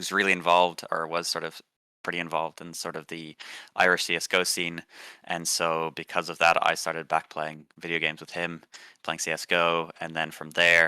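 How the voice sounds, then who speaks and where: A man with an American accent speaks at a very deep, low pitch in a monotone, flat intonation, with a bright, sharp tone. His loudness swings widely on a very clean recording with a silent background. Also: moderate pace. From California, US. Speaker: esports tournament organizer, student. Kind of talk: podcast interview. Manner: casual, filler-heavy.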